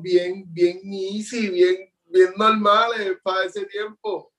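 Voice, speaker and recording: This man talks at a very slow pace with fairly even intonation. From Puerto Rico, Juncos. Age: 20s. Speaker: visual artist. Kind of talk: interview. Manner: halting, repeats words.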